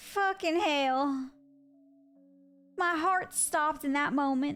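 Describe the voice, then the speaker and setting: Music plays in the background as the speaker goes at a very slow pace with ordinary pitch variation. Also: woman, high pitch for a woman. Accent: Southern US. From US, Italian American family. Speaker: gaming streamer. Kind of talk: live stream chat. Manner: animated.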